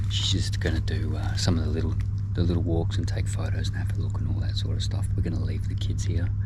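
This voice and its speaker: A man whispers very fast at very even loudness, with audible room echo and noticeable background noise. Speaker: travel vlogger. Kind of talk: vlog narration. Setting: outdoors. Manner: whispering.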